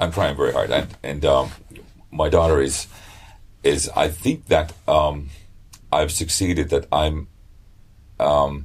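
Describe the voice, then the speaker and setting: This man talks at a fairly slow pace. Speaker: a cappella bass singer and beatboxer. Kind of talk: interview answer. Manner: hesitant, many fillers and repeats.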